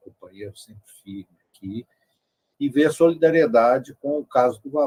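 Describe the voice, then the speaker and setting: The sound is dry and close, without any echo. The man's tone is dark and mellow, and his pace is moderate. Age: 60s. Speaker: mental health activist. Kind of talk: round-table discussion.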